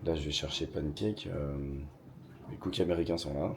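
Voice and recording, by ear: In a put-on character voice, a man speaks at a moderate pace with a very deep, low pitch, raspy and hoarse, over light background noise.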